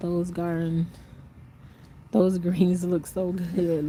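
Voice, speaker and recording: Noticeable background noise accompanies a woman speaking in a fairly low voice. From North Carolina, rural. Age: 60s. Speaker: gardening vlogger. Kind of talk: casual livestream chat reading comments. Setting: outdoors in the garden. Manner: rambling, conversational.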